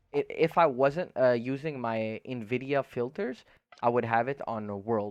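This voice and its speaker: A man with a non-native accent speaks at a fairly slow pace. His pitch is medium, with ordinary variation. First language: not English. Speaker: gaming streamer. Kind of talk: tutorial. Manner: casual, filler-heavy.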